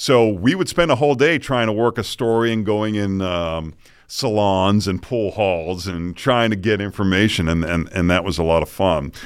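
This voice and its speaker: A man's fairly low-pitched voice, relaxed in tone, at a moderate pace with ordinary pitch variation and hardly any pauses. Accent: American. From Boston. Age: 50s. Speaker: morning news anchor. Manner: relaxed, chatty, good-humored.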